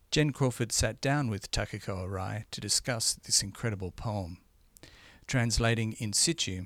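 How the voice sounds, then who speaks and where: In a very clean recording with a silent background, a man with a plain, everyday voice speaks at a moderate pace and a fairly low pitch, with ordinary pitch variation. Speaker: podcast host. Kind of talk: scripted narration. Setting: studio.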